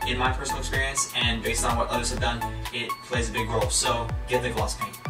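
A man at a very fast pace, with clear music in the background. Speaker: hobby tutorial host. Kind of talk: tutorial. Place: home room.

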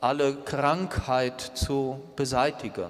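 A man talks with a pitch that runs fairly high. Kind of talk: homily in church, a reflective, earnest sermon with rhetorical questions. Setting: church. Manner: measured, earnest, thoughtful pace; direct address, rhetorical questions to the congregation. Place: church.

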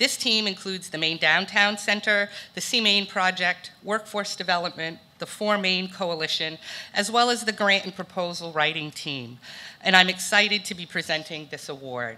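A woman speaks at a moderate pace with ordinary pitch variation. Her loudness swings widely. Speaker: presenter. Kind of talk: prepared award speech. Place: hall. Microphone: podium.

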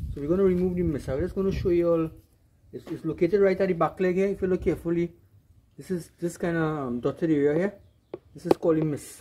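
A man talks at a very fast pace with a Trinidadian accent and a high pitch. His tone is dark and mellow. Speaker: outdoor video creator. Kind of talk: vlog narration and cooking tutorial. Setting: outdoors. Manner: animated.

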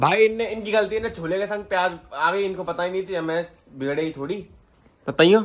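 A high-pitched man at a fairly quick pace, with ordinary pitch variation.

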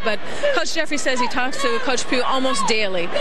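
Loud background noise surrounds a woman's voice. The sound itself is dry, with no echo. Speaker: sideline reporter. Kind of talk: sideline reporting and interviews. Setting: stadium sideline.

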